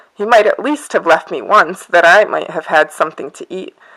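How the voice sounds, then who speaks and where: Putting on a character voice, a woman sounds raspy at a medium pitch, with lively intonation and a fairly quick pace. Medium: read story.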